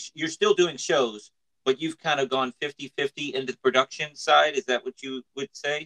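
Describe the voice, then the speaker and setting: Recorded with a dry, close sound and no echo, a man with a bright, sharp tone and a fairly high pitch talks at a moderate pace with ordinary pitch variation. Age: 40s. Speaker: podcast host and magician. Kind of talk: casual chat. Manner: animated.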